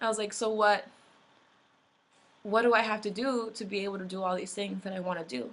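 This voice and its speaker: Talking at a fairly quick pace with long, frequent pauses, a woman holds a medium pitch and fairly even intonation. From US, raised from infancy; born in Mexico. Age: 20s. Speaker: immigrant activist. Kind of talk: personal testimony. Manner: casual, many fillers like um and like.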